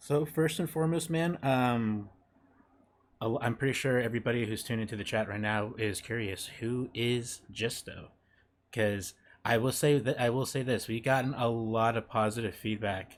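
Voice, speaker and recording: A man with an ordinary speaking voice talks at a medium pitch and moderate pace with ordinary pitch variation, in a very clean recording with a silent background. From Mexico, moved to US young. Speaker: podcast host. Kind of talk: casual interview chat.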